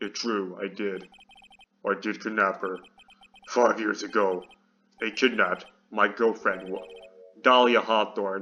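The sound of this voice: A man's put-on character voice, fairly low in pitch, broken by long, frequent pauses. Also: fairly slow pace.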